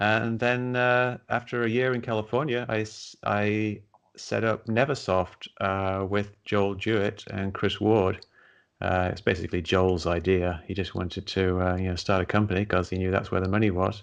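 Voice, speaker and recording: Moderate pace and fairly even intonation, with an English accent. The background is quiet. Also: man, fairly low pitch for a man. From England. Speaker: science writer and skeptic, former game programmer. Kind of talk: interview.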